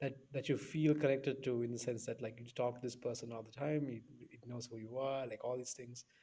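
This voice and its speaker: Somewhat breathy and dark, mellow in tone, a man's medium-pitched voice moves at a fairly quick pace with big swings in loudness. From Sri Lanka. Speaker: podcast host. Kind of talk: casual interview conversation. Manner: animated, many fillers and restarts.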